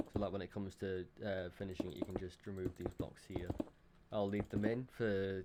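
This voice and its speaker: Mumbling at a moderate pace, a man speaks in a very deep, low, monotone voice with flat intonation. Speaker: Minecraft building tutorial creator. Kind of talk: casual tutorial narration. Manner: mumbling, hesitant.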